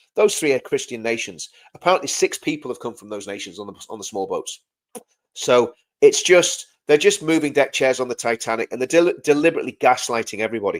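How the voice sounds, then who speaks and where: Animated and very fast, a man with an English accent speaks at a fairly high pitch with big swings in loudness. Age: 50s. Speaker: live stream host and former soldier. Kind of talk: live stream commentary reading chat. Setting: live video stream. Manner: repetitive, stumbling restarts; animated, impassioned.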